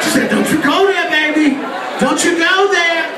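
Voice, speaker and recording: Room echo is audible as a man speaks at a moderate pace. Loud background noise runs underneath. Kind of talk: stage banter. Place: stage.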